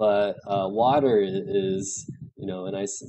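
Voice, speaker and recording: There is audible room echo as a man with a fairly low pitch speaks at a moderate pace. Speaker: teacher. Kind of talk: lecture. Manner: halting, many fillers.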